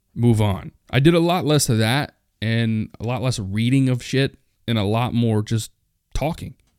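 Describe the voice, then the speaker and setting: A man speaks in a normal speaking voice at a medium pitch and moderate pace. His pitch variation is ordinary, and the recording is very clean with a silent background. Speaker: podcast host. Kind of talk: solo rant, casual monologue. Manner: casual, rambling, profane.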